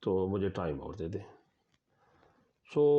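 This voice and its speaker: With lively intonation, a man speaks in an unremarkable speaking voice. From Pakistan, Chakwal district, Punjab. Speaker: professor. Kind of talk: interview answer.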